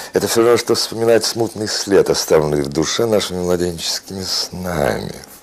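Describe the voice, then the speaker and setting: This man speaks at a moderate pace with a very deep, low pitch. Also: ordinary pitch variation, hardly any pauses. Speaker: actor. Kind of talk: poetry reading. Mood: reflective, calm. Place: home room.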